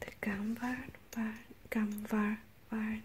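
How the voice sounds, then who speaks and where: Very slow and soft-spoken, a woman talks at a fairly high pitch over light background noise. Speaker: artist. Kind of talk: ASMR, relaxing talk to camera.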